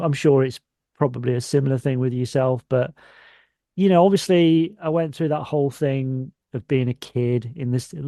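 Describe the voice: The man's voice has a dark, mellow tone. The sound is dry and close, with no echo.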